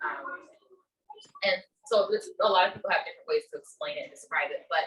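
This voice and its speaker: A woman at a fairly quick pace. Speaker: emotional intelligence educator. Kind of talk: presentation. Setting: meeting room with audience. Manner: naturally quiet.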